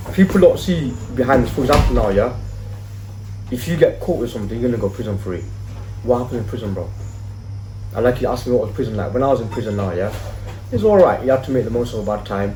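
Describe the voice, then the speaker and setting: Speaking very fast yet with long, frequent pauses, a man at medium pitch shows ordinary pitch variation over noticeable background noise and audible room echo. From English Midlands, Leicester. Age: 30s. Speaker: youth worker, former street hustler. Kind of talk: casual podcast interview. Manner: animated, conversational.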